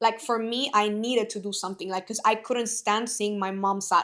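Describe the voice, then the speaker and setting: Speaking very fast, a woman with a Spanish accent uses a fairly high pitch, fairly even intonation and a bright, sharp tone. The recording is very clean, with a silent background. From Bolivia. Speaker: network marketing entrepreneur. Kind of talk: casual podcast conversation.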